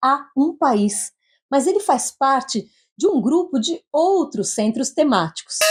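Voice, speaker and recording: A woman with a Brazilian accent speaks fairly slowly at a high pitch, her voice swinging very widely up and down, in a dry, close sound with no echo. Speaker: journalist, podcast host. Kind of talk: scripted narration; interview.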